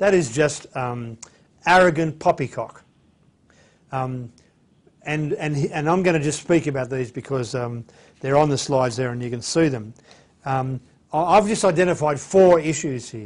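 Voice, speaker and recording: Long, frequent pauses from a fairly high-pitched man with an Australian accent. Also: ordinary pitch variation, moderate pace. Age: 60s. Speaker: bible teacher. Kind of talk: lecture. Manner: hesitant, many fillers.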